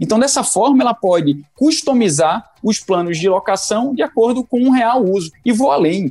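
With a dark, mellow tone, the speaker keeps loudness very even and pitch swinging very widely, talking at a moderate pace with hardly any pauses. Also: man, high pitch for a man. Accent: Pernambuco. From Brazil, Pernambuco (Recife). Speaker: tech company co-founder. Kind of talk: interview. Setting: virtual call.

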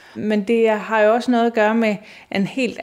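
A woman speaks at a moderate pace. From Denmark, Aarhus. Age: 50s. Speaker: nurse and embroidery artist. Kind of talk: casual interview. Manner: hesitant with fillers.

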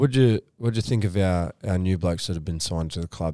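Recorded very cleanly against a silent background, the voice has a dark, mellow tone and a fairly quick pace. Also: man. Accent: Australian. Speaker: podcast host. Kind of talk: casual interview.

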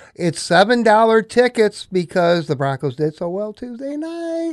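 Dry and close with no echo, a man's voice with a Midwestern American accent moves at a moderate pace through very wide pitch swings. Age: 60s. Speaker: sports broadcaster. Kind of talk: casual sports chat.

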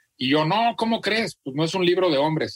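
Using lively intonation, a man with a plain, everyday voice speaks at a moderate pace. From central Mexico (Celaya, Guanajuato). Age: 40s. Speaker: content creator and author. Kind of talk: interview. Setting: video call.

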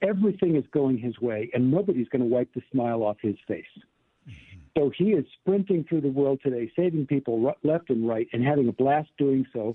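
An unremarkable speaking voice from a man with an American accent, medium pitch, lively intonation and a moderate pace. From US South. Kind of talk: interview on faith.

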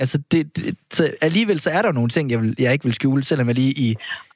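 A man with a plain, everyday voice, a fairly high pitch and a fairly quick pace, in a dry, close sound with no echo. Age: 20s. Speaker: radio host. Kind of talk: live radio talk. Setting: studio.

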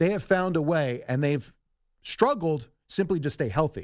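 On a very clean recording with a silent background, a man uses a normal speaking voice, fairly high in pitch, with lively intonation. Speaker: sports radio guest analyst. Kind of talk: sports talk discussion.

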